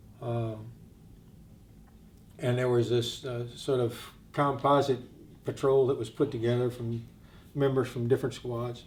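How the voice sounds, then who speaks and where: A man with an American accent talks at a fairly slow pace in a medium pitch, somewhat breathy and with monotone, flat intonation, leaving long, frequent pauses. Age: 60s. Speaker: war veteran. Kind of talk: testimony. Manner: halting.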